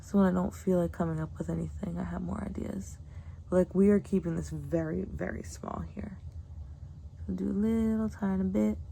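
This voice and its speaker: Soft-spoken and relaxed in tone, a woman speaks at a very deep, low pitch with fairly even intonation. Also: moderate pace. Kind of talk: ASMR makeup tutorial, casual talk to camera. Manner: soft-spoken, relaxed.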